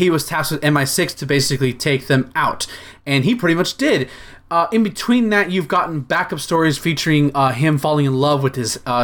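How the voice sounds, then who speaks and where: Here a man with a fairly high pitch and an unremarkable speaking voice talks at a fairly quick pace. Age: 20s. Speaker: comics podcast co-host. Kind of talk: casual chat.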